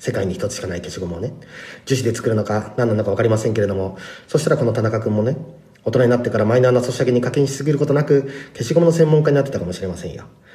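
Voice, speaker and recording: Noticeable background noise runs behind a man speaking at a very fast pace. His medium-pitched voice shows ordinary pitch variation. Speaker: rapper. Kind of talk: episode review talk.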